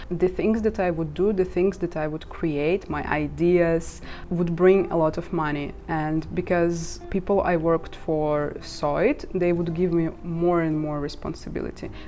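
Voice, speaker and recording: A woman with a Russian accent speaks at a fairly low pitch and fairly slow pace. Her intonation is monotone and flat, with noticeable background noise. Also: hardly any pauses. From Ukraine. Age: 20s. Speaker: social media marketer and vlogger. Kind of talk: casual vlog monologue.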